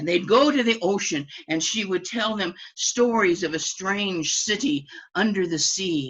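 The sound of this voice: Lively intonation in an unforced reading voice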